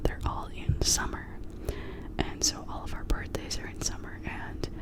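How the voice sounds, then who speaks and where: Someone whispers over noticeable background noise. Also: moderate pace. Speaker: ASMR creator. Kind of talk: ASMR whispered chat to camera. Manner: whispered.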